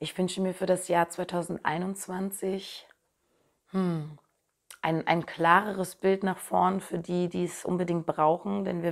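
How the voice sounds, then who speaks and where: Against a quiet background, a woman with a fairly low pitch speaks at a very slow pace with monotone, flat intonation. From Berlin, Germany. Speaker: singer; interviewee. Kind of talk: interview answers. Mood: thoughtful, warm. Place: home room.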